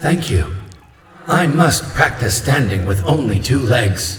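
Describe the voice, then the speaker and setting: Using a put-on character voice at medium pitch, a man speaks fairly slowly with a clear echo around him. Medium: read story. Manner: formal, odd, plays with word sounds.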